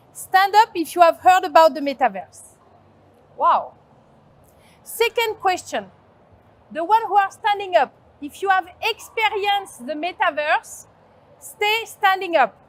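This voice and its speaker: A woman with a strong French accent and an extremely high pitch, fairly slow pace, long and frequent pauses, ordinary pitch variation, and big swings in loudness. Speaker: agency founder, conference speaker. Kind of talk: conference talk. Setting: stage with audience.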